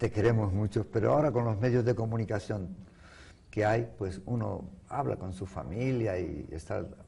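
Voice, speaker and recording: Speaking in a Venezuelan accent, a man keeps a moderate pace and a fairly low pitch with vocal fry. His tone is dark and mellow, his intonation lively. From Canary Islands, Spain (Las Palmas de Gran Canaria). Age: 70s. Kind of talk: interview.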